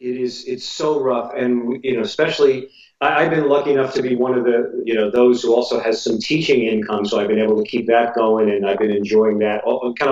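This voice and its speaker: An unremarkable speaking voice belongs to a man at a medium pitch. He talks at a fairly quick pace with ordinary pitch variation. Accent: American. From New Jersey, US. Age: 60s. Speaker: jazz drummer and teacher. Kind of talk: casual interview.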